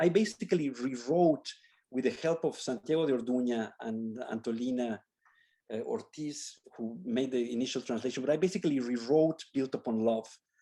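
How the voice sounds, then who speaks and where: A man with a Spanish accent speaks at a medium pitch, his tone dark and mellow. His pitch varies in an ordinary way against a quiet background. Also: moderate pace. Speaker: architecture professor. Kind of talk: Q&A after a lecture. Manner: halting, with many repetitions.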